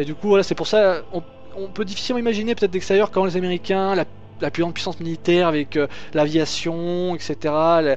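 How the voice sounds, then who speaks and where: Fairly quick, high-pitched male voice with ordinary pitch variation. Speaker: YouTuber. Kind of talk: casual explainer monologue. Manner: fast; hesitant, many fillers.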